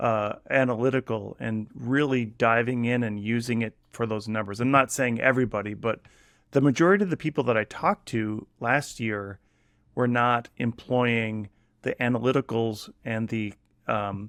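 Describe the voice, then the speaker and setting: A man speaks at medium pitch with fairly even intonation and a moderate pace. The background is quiet. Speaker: e-commerce founder and podcast host. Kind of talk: interview.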